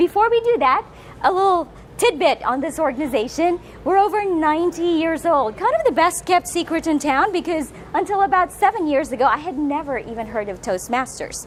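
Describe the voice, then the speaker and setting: A woman speaks at an extremely high pitch with very wide pitch swings in an animated tone. Her pace is fairly quick, with noticeable background noise. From Philippines. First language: Filipino/Tagalog. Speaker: motivational speaker. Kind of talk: public speaking talk. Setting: room with live audience, filmed.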